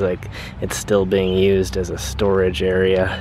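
A man speaks at a very deep, low pitch. The sound is dry with no echo, but with noticeable background noise. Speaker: urban exploration vlogger. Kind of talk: walking commentary. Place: open country. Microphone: phone near.

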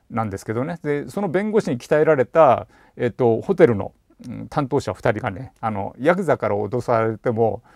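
A man talks at a moderate pace in a relaxed tone, his voice dry with no echo against a quiet background. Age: 50s. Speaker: bicycle shop owner; channel host. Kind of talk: casual monologue vlog. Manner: relaxed, conversational with many fillers. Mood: relaxed, laughing at times. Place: home room. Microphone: lapel.

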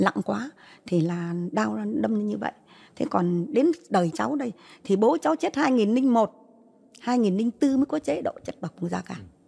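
Somewhat breathy and dark, mellow in tone, a woman speaks at a moderate pace with very wide pitch swings. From northern Vietnam, Hai Phong; northern Vietnam. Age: 80s+. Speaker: Agent Orange victim's grandmother. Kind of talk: testimony. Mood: earnest, recounting hardship. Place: studio. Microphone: handheld.

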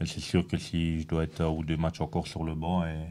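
Very deep and low, a man's voice has a dark, mellow tone. His intonation is monotone and flat. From Belgium. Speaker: football player. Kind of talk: post-match interview. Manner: hesitant, many fillers. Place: meeting room. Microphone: handheld.

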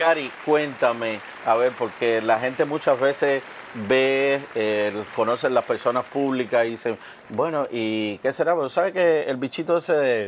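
With light background noise behind him, a man talks at a fairly slow pace and a medium pitch. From Cuba, Oriente (eastern Cuba), countryside. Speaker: cooking show host. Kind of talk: casual cooking show chat. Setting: studio kitchen. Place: studio. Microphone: lapel.

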